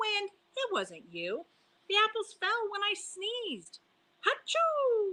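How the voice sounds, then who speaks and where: Squeaky put-on character voice from a woman, extremely high in pitch, at a fairly slow pace. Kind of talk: bedtime story. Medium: read story. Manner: earnest, stubborn.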